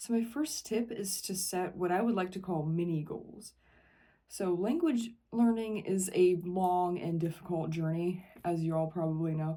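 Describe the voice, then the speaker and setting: A woman at medium pitch speaks in a dark, mellow tone with ordinary pitch variation. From Ohio, USA. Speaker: English teacher. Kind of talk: casual educational talk to camera.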